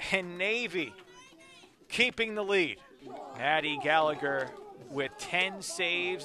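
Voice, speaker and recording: A man's high voice at a very slow pace, with ordinary pitch variation and long, frequent pauses. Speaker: soccer play-by-play commentator. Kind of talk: live sports commentary.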